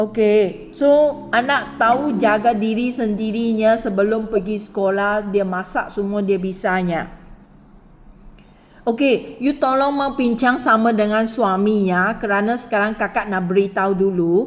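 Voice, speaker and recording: Fairly slow female speech, fairly high in pitch, with ordinary pitch variation. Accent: Malaysian. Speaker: recruitment interviewer. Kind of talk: job interview.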